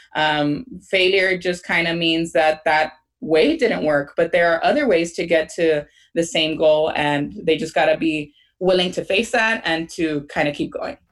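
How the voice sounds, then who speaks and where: In an American accent, a woman with a normal speaking voice talks at a fairly slow pace. Her pitch is fairly low and varies in an ordinary way. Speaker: teacher and podcaster. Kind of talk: interview chat.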